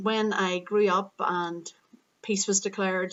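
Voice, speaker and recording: With an Irish accent, a woman speaks in monotone, flat intonation. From Northern Ireland. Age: 30s. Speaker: yoga and Pilates teacher vlogging. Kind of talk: unscripted vlog monologue. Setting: parents' living room at home. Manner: hesitant, many fillers.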